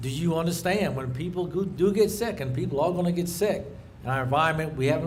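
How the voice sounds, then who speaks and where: In a room with audible echo, a man with a fairly high pitch talks at a very fast pace with ordinary pitch variation. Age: 60s. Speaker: commercial fisherman. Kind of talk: rally speech.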